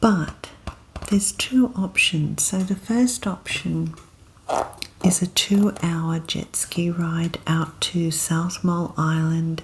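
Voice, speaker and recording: Soft-spoken and relaxed, the voice carries an Australian accent and ordinary pitch variation, moving very slowly over noticeable background noise. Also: woman. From Australia, Queensland. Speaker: ASMR content creator. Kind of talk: ASMR soft-spoken talk to camera. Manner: soft-spoken, relaxed.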